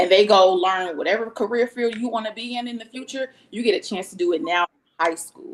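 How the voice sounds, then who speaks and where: Using a plain, everyday voice, a woman speaks at a fairly quick pace and fairly high pitch, with lively intonation, big swings in loudness, and hardly any pauses. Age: 30s. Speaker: school educator. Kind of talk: panel discussion.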